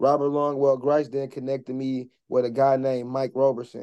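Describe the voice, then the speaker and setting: Speaking at a fairly quick pace with an American accent, a man delivers his words in a dark, mellow tone at medium pitch, with monotone, flat intonation. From US Midwest, Milwaukee. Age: 30s. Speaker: nonprofit founder. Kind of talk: interview conversation.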